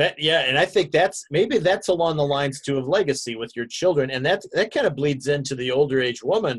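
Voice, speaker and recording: A man speaks at a fairly quick pace with hardly any pauses, against a quiet background. His somewhat breathy voice sits at a fairly high pitch with ordinary pitch variation. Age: 60s. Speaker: pastor. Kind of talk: bible study class. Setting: video call. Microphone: video call.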